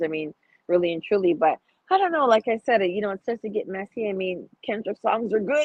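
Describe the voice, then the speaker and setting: A woman speaks at medium pitch with a Toronto accent. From Toronto, Canada. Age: 30s. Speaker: podcast guest, cigar enthusiast. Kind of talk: casual chat. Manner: animated, frequent filler phrases.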